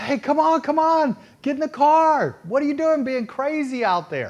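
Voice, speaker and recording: A man with a Texas accent speaks at a moderate pace in an animated tone. The background is quiet. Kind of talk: sermon.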